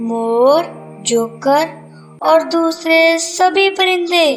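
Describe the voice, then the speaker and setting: In a cartoonish character voice, a female-sounding voice speaks at a very slow pace with clear music in the background. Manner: calm, kindly lecturing.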